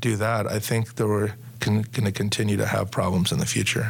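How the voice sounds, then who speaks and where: With an American accent, a man talks in a normal speaking voice, fairly low in pitch, with fairly even intonation. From Sacramento, California. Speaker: police officer and union president. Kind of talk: interview.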